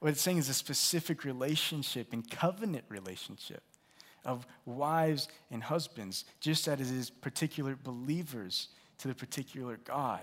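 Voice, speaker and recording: A man talks in a normal speaking voice of medium pitch. His pitch variation is ordinary, and his pace moderate. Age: 20s. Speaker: pastor. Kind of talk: sermon.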